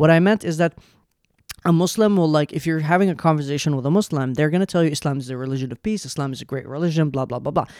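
A man's voice sits fairly high for him as he talks at a very fast clip. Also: ordinary pitch variation, very clean recording, silent background. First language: Arabic. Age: 20s. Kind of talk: casual chat.

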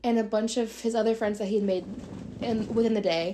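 Speaking at a moderate pace, a woman has an unremarkable speaking voice, a fairly high pitch and fairly even intonation. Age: 20s. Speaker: podcast co-host. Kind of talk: casual chat.

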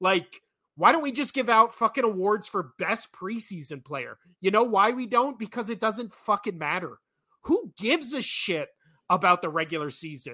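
A man's raised, projected voice, high in pitch, bright and sharp in tone, with very wide pitch swings. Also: moderate pace. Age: 30s. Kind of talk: casual chat. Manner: animated.

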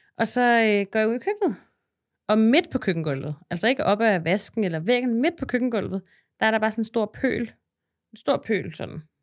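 On a very clean recording with a silent background, a woman with a plain, everyday voice talks at a moderate pace, her fairly high pitch carrying lively intonation. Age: 30s. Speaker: content creator. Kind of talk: casual chat.

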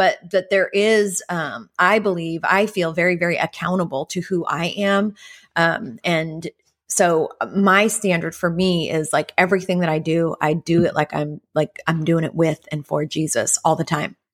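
A woman with a plain, everyday voice, fairly low in pitch, with fairly even intonation at a moderate pace, in a very clean recording with a silent background and a dry, close sound with no echo. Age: 40s. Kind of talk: casual chat.

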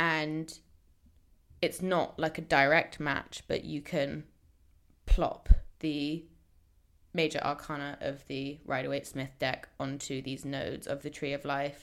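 Relaxed in tone, a woman speaks at a fairly slow pace with a very deep, low pitch, monotone, flat intonation and long, frequent pauses. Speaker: tarot specialist. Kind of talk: casual podcast conversation. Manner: self-deprecating, relaxed, laughing.

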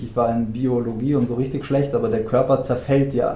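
The speech moves at a fairly quick pace. Audible room echo surrounds it. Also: man. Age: 30s. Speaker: podcast guest, gym-goer friend of host. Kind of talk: casual chat. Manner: halting, many fillers.

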